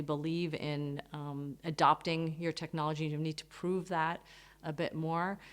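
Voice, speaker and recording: In a very clean recording with a silent background, a woman with an American accent speaks at a moderate pace in a very deep, low voice with monotone, flat intonation. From United States. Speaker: business advisor. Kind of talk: interview. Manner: measured, with frequent fillers.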